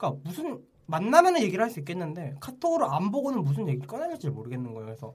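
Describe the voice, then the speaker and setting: A man talks at a very fast pace in a high pitch, with very wide pitch swings and big swings in loudness. Audible echo fills the room. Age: 20s. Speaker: podcast co-host. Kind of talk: casual chat.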